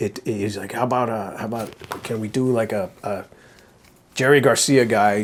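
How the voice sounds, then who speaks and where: Here a man has an ordinary speaking voice, pitched fairly low. His intonation stays fairly even. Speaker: animation director. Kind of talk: casual talk show conversation.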